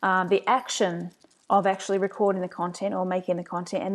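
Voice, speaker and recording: A woman with a New Zealand accent speaks at a moderate pace and medium pitch against a quiet background. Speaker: agency owner, marketing presenter. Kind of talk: webinar presentation. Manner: casual, frequent fillers.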